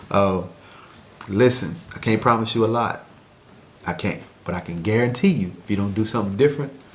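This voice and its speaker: A man's quiet, fairly low voice at a fairly quick pace, with long, frequent pauses and audible room echo. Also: ordinary pitch variation. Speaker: mentor and life coach vlogger. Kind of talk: casual vlog monologue. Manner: quiet, talking low; hesitant, many fillers.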